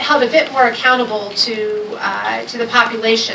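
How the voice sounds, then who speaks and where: A woman talks in a space with audible room echo, noticeable background noise around her. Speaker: development agency official, panelist. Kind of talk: panel talk. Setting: panel event with microphone. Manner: loud.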